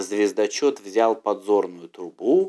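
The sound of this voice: Slowly and with lively intonation, a man speaks in a fairly low, dark, mellow voice.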